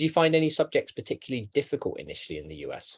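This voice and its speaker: At a fairly quick pace, a man with a London accent speaks over a quiet background, the sound dry and close with no echo. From London, England. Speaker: education advisor. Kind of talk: interview. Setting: webinar.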